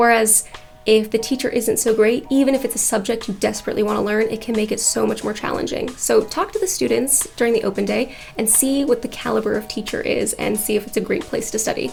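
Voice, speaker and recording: A woman talking at a very fast pace in an American accent, with noticeable background noise. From United States. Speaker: architect and educational YouTuber. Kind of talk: explainer tutorial.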